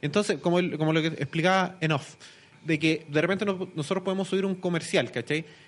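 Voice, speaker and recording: Speaking at a fairly quick pace, a man with a Chilean accent holds a high pitch, very even loudness and fairly even intonation. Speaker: youtuber. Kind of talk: casual chat.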